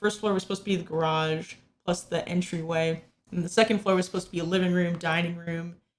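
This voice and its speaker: A woman speaks at a fairly quick pace with fairly even intonation. Her pitch is fairly low. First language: not English. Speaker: gaming YouTuber. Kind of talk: gameplay commentary. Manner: halting, many fillers.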